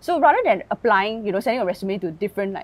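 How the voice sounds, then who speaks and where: The woman speaks at a very fast pace. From Singapore. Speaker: content creator and tech worker. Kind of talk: interview conversation. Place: garden. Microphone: lapel.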